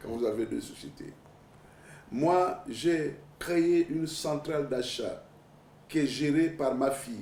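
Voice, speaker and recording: A man talks with a fairly high pitch. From Gabon. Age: 60s. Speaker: presidential candidate. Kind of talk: TV interview. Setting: TV studio.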